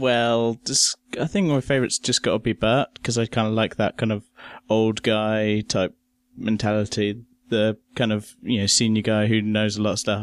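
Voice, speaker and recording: Delivered at a moderate pace with an English accent, the speech is monotone and flat, very even in loudness, with a dry, close sound and no echo. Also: man, fairly low pitch for a man. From England. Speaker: guest. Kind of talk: casual chat. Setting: remote call from UK.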